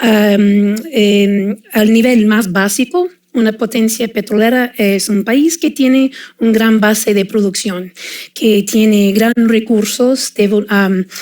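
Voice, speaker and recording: A woman with a slight non-native accent at a very slow pace, with fairly even intonation and very even loudness. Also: fairly high pitch for a woman. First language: English (speaking Spanish). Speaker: oil and gas industry expert. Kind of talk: panel discussion. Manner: hesitant, many fillers.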